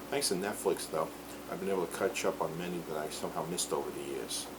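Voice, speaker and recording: Audible room echo and noticeable background noise surround the recording. A man speaks at a very deep, low pitch with fairly even intonation. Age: 40s. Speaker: film reviewer. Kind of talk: casual movie review monologue. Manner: slurred.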